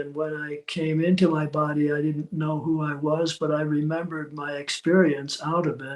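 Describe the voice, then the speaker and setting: At a fairly slow pace, a man with a fairly high pitch speaks in a monotone, flat intonation. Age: 80s+. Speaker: author on spirituality. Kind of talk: interview. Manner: halting, many fillers.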